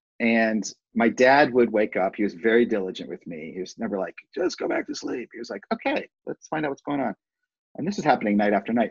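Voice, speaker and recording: An unremarkable speaking voice from a man, medium in pitch, fairly quick, with lively intonation and a dry, close sound with no echo. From US Midwest, Cleveland Heights, Ohio. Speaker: artist and improv business trainer. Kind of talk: casual interview chat.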